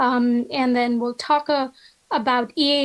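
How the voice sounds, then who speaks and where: A woman with a high pitch, monotone and flat, at a fairly slow pace. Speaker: oncologist. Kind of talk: conference talk. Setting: video call. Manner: halting, many fillers.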